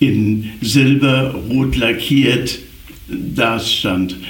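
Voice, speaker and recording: Through audible room echo and noticeable background noise, a man talks at a very slow pace with fairly even intonation. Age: 80s+. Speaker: scooter enthusiast. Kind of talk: casual chat.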